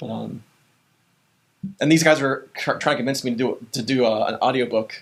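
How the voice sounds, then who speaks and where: A man speaks at a fairly quick pace and medium pitch, with fairly even intonation. He takes long, frequent pauses. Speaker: pastor and author. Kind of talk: casual chat. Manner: fast.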